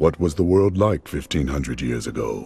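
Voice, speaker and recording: A man's put-on character voice, very deep and low in pitch, at a moderate pace. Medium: video game. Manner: calm, resolute.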